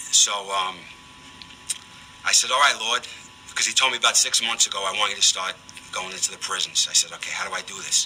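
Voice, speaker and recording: With a slight Bronx accent, a man talks at a fairly quick pace broken by long, frequent pauses, with noticeable background noise behind him. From New York, the Bronx. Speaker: prison ministry volunteer. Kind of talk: radio interview testimony. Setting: radio studio.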